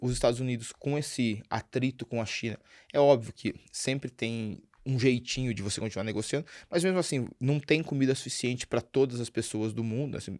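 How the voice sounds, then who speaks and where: An ordinary speaking voice from a man, medium in pitch with ordinary pitch variation, at a fairly quick pace, dry and close with no echo, on a very clean recording with a silent background. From Brazil, Sorocaba (interior of São Paulo state). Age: 40s. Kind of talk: casual interview.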